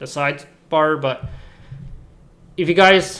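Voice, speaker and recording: In a normal speaking voice with a Canadian accent, this speaker talks with fairly even intonation. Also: man. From Canada, West Coast (British Columbia). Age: 20s. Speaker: streamer. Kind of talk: casual chat. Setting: live stream.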